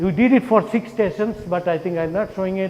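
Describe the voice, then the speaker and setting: Against noticeable background noise, a man talks at a fairly quick pace in a high pitch with ordinary pitch variation. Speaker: professor. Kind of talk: conference talk. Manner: fast.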